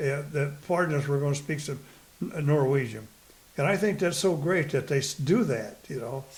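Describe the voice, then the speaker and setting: A somewhat breathy man at a fairly high pitch, moderate in pace, with ordinary pitch variation. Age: 90s. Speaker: poet. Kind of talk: interview answer. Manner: hesitant, rambling.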